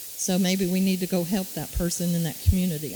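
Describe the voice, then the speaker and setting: The woman talks at a fairly quick pace in a monotone, flat intonation with a fairly low pitch. Noticeable background noise runs under her voice. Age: 70s. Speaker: city council candidate. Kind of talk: candidate forum answer.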